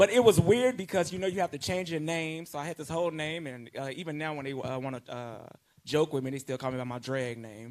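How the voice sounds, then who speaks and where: A man at a very fast pace, fairly high in pitch, with lively intonation and big swings in loudness. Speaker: panelist, former drag performer. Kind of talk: panel discussion.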